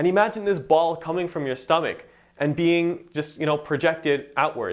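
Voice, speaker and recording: At a moderate pace, this man speaks with a fairly high pitch. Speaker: Quran recitation teacher. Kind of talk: tutorial. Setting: recorded to camera. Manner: projected, clear; filler-heavy casual.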